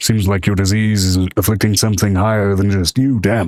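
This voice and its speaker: A man in a put-on character voice at a fairly low pitch and fairly quick pace, on a very clean recording with a silent background. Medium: actual play.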